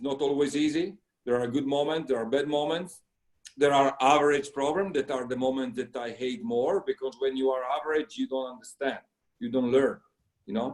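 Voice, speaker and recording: A man with an Italian accent, fairly high in pitch, at a fairly quick pace with ordinary pitch variation. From Italy. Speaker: sailing coach. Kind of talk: interview. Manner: halting.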